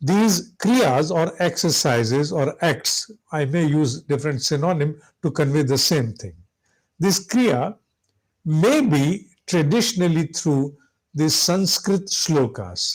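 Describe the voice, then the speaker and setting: A man with a fairly high pitch and lively intonation, speaking at a very slow pace, very clean recording over a silent background. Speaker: spiritual teacher. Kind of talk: lecture.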